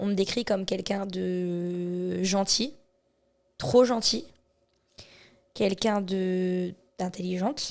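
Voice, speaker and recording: Her intonation stays fairly even as this woman talks at a medium pitch. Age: 30s. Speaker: charity association president. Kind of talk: podcast interview. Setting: association premises.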